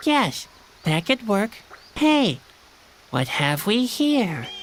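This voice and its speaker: This is a put-on character voice with a fairly high pitch. It moves at a very slow pace with very wide pitch swings. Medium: video game. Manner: dry, sardonic.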